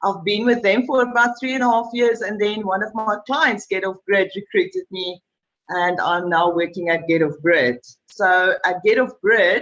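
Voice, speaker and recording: A woman's unremarkable speaking voice, fairly high in pitch, with ordinary pitch variation and a moderate pace. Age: 40s. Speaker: sales and marketing manager. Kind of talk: panel discussion.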